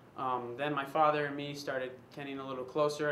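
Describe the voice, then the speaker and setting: Talking at a fairly quick pace, a man with a fairly high pitch keeps a flat, monotone intonation. Room echo is audible. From US West Coast, San Diego, California. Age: 20s. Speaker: casting applicant, personal trainer. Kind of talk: casting audition monologue. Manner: halting, many fillers.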